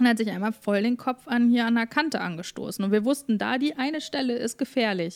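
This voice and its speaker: This woman has an unremarkable speaking voice, fairly high in pitch with ordinary pitch variation, moving at a fairly quick pace with hardly any pauses on a very clean recording with a silent background. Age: 20s. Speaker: influencer and podcaster. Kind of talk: casual chat.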